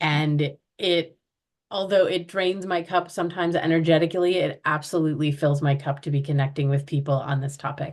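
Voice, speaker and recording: With an American accent, a woman talks at a fairly quick pace in a very deep, low voice with fairly even intonation. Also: quiet background. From US Midwest, Chicago. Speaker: chronic pain art project organizer. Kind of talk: podcast interview.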